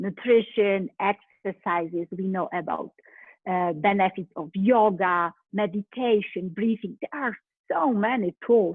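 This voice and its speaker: A woman with a Polish accent, medium pitch, ordinary pitch variation and a fairly slow pace. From Poland. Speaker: life coach. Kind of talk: motivational talk.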